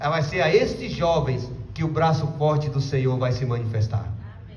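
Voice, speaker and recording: A man talks at a moderate pace and fairly high pitch in an animated tone, with ordinary pitch variation and big swings in loudness, amid noticeable background noise and audible room echo. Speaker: evangelist preacher. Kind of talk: sermon.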